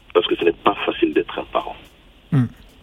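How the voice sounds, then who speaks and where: A man's fairly quick speech is accompanied by noticeable background noise. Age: 50s. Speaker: radio caller. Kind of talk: call-in opinion. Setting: phone call. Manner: halting.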